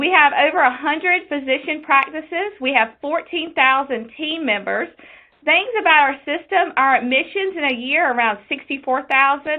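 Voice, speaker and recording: A woman with an Eastern North Carolina accent. Her voice sits high in pitch. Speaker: quality nurse specialist. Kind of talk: webinar presentation.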